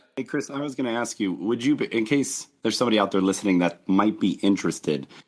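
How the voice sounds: In a put-on character voice, a man talks very fast with a raspy, medium-pitched sound and lively intonation.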